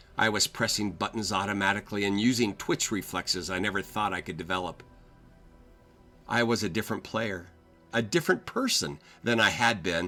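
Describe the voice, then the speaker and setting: Music plays in the background as a man talks at a fairly quick pace with a fairly low pitch. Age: 60s. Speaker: grandfather gamer. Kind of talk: personal reflective voiceover narration.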